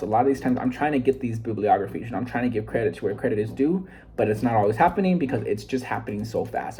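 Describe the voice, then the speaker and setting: A man rattles off his words very fast while noticeable background noise plays behind him. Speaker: self-improvement vlogger. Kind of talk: casual vlog book summary. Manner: fast, sometimes scattered; halting, many fillers.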